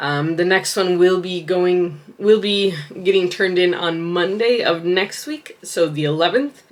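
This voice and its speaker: Against noticeable background noise, a woman speaks at a fairly slow pace, her medium pitch showing ordinary variation. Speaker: vlogger and writer. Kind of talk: casual vlog talk. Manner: casual with many fillers.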